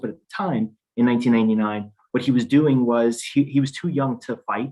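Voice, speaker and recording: This man's voice holds a medium pitch, his delivery fairly quick and his intonation fairly even. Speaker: immigration attorney. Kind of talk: panel discussion. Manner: fast.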